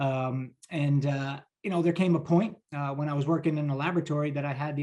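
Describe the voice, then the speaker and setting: A man with a New Jersey accent, a fairly high pitch and a dark, mellow tone at a very fast pace. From New Jersey, US. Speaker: pharmaceutical sales leader. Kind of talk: interview. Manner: energetic.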